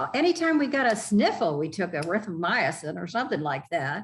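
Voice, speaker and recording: The speaker is somewhat breathy, moves at a moderate pace, and swings through a very wide range of pitch. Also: woman. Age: 70s. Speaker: triathlete and health advocate. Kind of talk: interview. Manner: animated.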